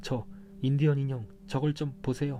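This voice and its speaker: A man speaks in a calm tone. Music plays in the background. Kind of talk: audiobook reading of a mystery novel. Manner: calm, soft-spoken.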